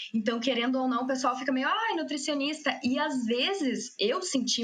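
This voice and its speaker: Amid audible room echo, a woman talks at a fairly quick pace with a high pitch and ordinary pitch variation. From Rio Grande do Sul interior, Passo Fundo. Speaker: nutritionist and researcher. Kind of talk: casual podcast interview.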